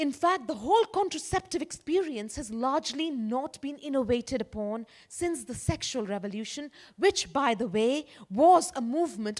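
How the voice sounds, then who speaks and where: Speaking at a moderate pace with an Indian accent, a woman uses a high pitch that swings very widely. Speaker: conference speaker. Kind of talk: keynote talk.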